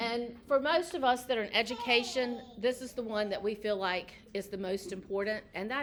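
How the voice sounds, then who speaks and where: A woman with an unremarkable speaking voice, fairly high-pitched, at a moderate pace with ordinary pitch variation. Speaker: educator. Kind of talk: informational presentation.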